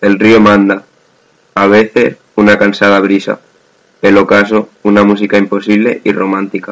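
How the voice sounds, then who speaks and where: Fairly low-pitched male speech in a monotone, flat intonation. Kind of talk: poetry reading aloud, spoken word. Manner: slow, hushed, wistful and dreamy, lingering over each line.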